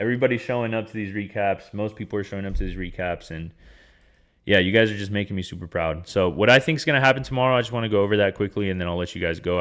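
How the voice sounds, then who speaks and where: In a very clean recording with a silent background, a man speaks very fast in an animated tone, his voice very deep and low with ordinary pitch variation. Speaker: day trader and trading educator. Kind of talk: market recap tutorial. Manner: casual, animated.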